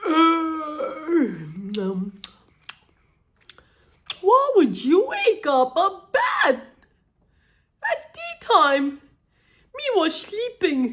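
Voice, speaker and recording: Putting on a character voice, a woman speaks at an extremely high pitch with very wide pitch swings, very slowly and with long, frequent pauses. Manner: sleepy, grumpy.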